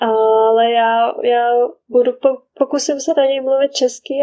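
Recorded dry and close with no echo, a woman speaks in a high pitch with a dark, mellow tone. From Czech Republic, small village. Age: 30s. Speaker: mother living abroad. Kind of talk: casual interview. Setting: remote call.

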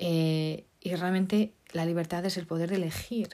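This woman's voice is fairly low in pitch, and her intonation stays fairly even. The recording is very clean, and the background is silent. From Portugal. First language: Portuguese (speaking Spanish). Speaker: podcast host. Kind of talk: solo talk podcast monologue. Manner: hesitant, many fillers.

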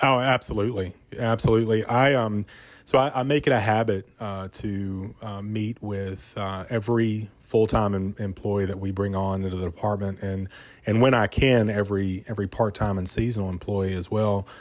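A man with an American accent talks at a moderate pace, his fairly low pitch held to fairly even intonation on a very clean recording with a silent background. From Virginia, Rockbridge County. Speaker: city parks director. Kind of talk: interview. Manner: hesitant, many fillers.

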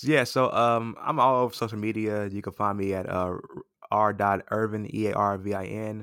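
At a moderate pace and with fairly even intonation, this plain, everyday voice speaks with an American accent. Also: man, fairly low pitch for a man. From Los Angeles, California. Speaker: pastor. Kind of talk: casual interview.

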